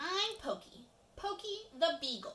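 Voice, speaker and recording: Putting on a squeaky character voice, a woman speaks at an extremely high pitch and a fairly slow pace with very wide pitch swings. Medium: read story.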